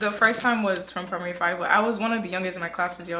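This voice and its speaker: A woman speaks at a very fast pace in a medium pitch. Noticeable background noise runs under her voice. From Nigeria (southeast, Abia/Imo State). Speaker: co-host guest. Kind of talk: casual chat.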